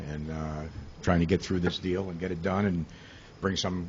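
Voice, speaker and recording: A man speaks with a very deep, low pitch and a somewhat breathy voice. His pace is fairly quick and his intonation fairly even. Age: 70s. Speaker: property developer addressing village board. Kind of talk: public comment at committee meeting. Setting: village committee meeting. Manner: halting, many fillers and repeats.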